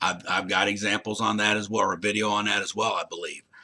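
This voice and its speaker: A man speaks loudly. His tone is bright and sharp. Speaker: college instructor. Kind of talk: recorded lecture to students.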